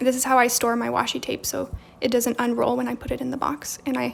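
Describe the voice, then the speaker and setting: Music runs underneath the recording. Over it, a woman speaks at a fairly quick pace. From Romania. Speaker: journaling content creator. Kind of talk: live stream craft tutorial and chat. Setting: live stream at home with background music. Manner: casual, chatty with fillers.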